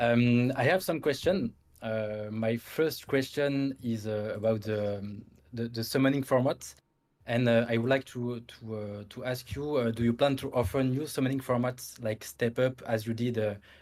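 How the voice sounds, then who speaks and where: A French accent, fairly even intonation and a moderate pace. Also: man, medium pitch for a man. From France. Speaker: gaming content creator. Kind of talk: interview Q&A. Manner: halting.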